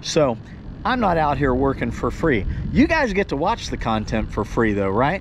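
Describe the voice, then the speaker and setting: At a moderate pace, a man speaks over noticeable background noise, the sound dry with no echo. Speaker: fishing vlogger. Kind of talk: casual vlog chat. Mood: earnest heart-to-heart. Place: boat. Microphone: phone near.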